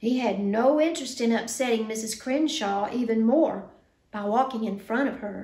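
The clip is plain reading aloud. Its pitch moves with ordinary variation.

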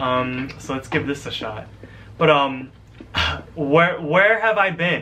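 At a moderate pace, a man talks while light background noise is present. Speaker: college student vlogger. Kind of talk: casual vlog chat. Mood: relaxed, slightly nervous. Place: home room. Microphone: webcam.

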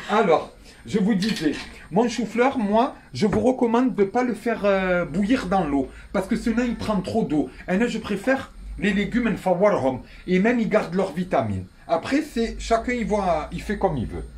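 With light background noise, a man speaks at a moderate pace in a high pitch, showing ordinary pitch variation. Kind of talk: cooking tutorial. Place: kitchen. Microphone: phone near.

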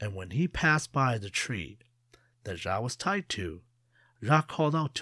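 A natural voice reading aloud, full of lively intonation

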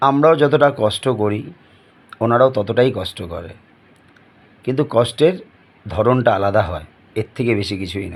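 A man speaks at medium pitch with lively intonation. His loudness swings widely. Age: 30s. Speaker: YouTuber sharing personal opinions. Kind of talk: opinion monologue to camera. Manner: halting.

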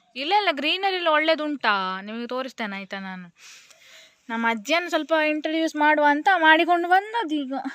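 A woman with a high pitch speaks with very wide pitch swings and big swings in loudness. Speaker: vlogger. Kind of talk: casual vlog narration.

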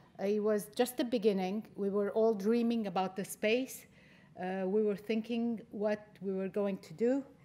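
A woman's fairly high-pitched, dark, mellow voice at a fairly slow pace, with fairly even intonation. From Lebanon. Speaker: education center director. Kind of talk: conference talk. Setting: stage with audience. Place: stage. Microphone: podium.

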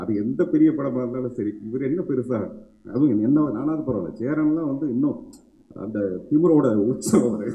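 Room echo can be heard on this recording. The man's pitch varies in an ordinary way. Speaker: actor giving a speech at a film celebration event. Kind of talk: animated stage speech, humorous and emotional. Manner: expressive, talkative, jokey. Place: stage. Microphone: podium.

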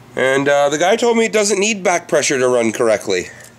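A man with very wide pitch swings over noticeable background noise. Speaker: RC hobbyist. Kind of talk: casual talk to camera. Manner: casual, profane.

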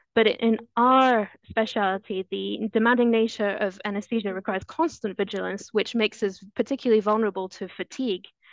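At a fairly quick pace with hardly any pauses, a woman with a fairly high pitch speaks in fairly even intonation, with a dry sound with no echo and a quiet background. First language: French. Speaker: anesthesiologist; presenter. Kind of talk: webinar presentation. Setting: video call.

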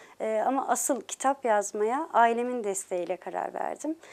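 Fairly slow speech with ordinary pitch variation on a very clean recording with a silent background. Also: woman. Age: 40s. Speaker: novelist. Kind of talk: interview. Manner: hesitant, many filler sounds.

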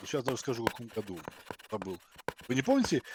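A man with a Russian accent is heard in a dry, close sound with no echo. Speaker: video chat stranger. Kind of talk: heated debate. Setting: video call. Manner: aggressive.

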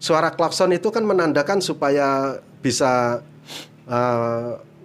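A man with a normal speaking voice talks at a medium pitch with ordinary pitch variation over light background noise. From Indonesia. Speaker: migrant worker and YouTuber; YouTuber. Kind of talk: casual interview.

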